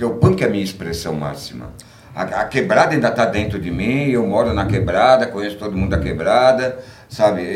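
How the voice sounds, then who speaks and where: A man at a moderate pace, with audible room echo. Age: 60s. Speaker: punk musician. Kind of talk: casual interview.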